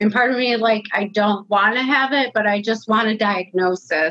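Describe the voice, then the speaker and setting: A plain, everyday voice from a woman, medium in pitch, with fairly even intonation. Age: 30s. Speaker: nursing assistant and COVID long hauler. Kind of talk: personal testimony interview.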